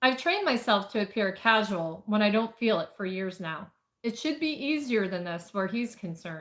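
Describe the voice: Over a quiet background, this plain reading aloud carries lively intonation.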